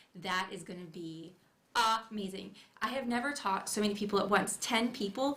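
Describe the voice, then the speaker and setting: A woman speaks at a fairly quick pace with a bright, sharp tone and medium pitch. Room echo is audible. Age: 30s. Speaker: felt artist and hat maker. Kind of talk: casual interview chat. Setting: studio livestream. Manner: soft-spoken.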